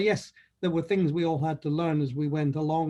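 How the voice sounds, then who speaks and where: A man speaks with a Scottish accent and a fairly high pitch. His pace is moderate, and the background is quiet. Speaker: conference delegate. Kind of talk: testimonial.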